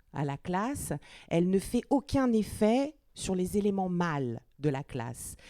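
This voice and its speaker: Recorded dry and close with no echo, a woman speaks in a dark, mellow tone with lively intonation. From born in Moscow, Russian mother, French father. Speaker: literary translator.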